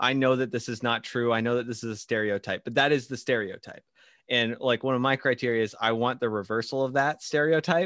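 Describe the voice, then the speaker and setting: With an unremarkable speaking voice, a man talks fairly quickly at medium pitch and with fairly even intonation. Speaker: podcast host. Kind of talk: casual interview. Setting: remote call, wearing AirPods.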